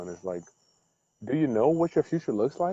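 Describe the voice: The voice has a dark, mellow tone and lively intonation. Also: man.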